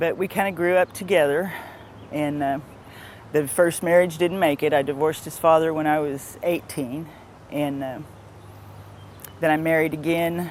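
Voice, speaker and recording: With long, frequent pauses, a woman talks at a moderate pace in a very deep, low pitch with fairly even intonation. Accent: American. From Missouri, US Midwest. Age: 40s. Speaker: interviewee. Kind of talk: personal testimony.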